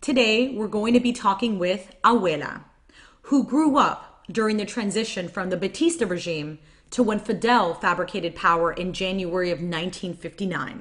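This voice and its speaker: Here is a woman with a plain, everyday voice, set at a medium pitch. She speaks at a fairly slow pace with lively intonation. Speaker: podcast host and interpreter. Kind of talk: podcast intro and live interpreting. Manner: upbeat.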